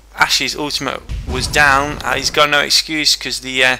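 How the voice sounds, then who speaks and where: A man's fairly high voice against noticeable background noise. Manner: halting, frequent fillers.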